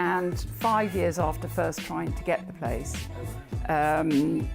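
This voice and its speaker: There is music behind the speaker. She is a woman talking fairly slowly. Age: 70s. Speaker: amateur runner with osteoporosis. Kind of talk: interview answer.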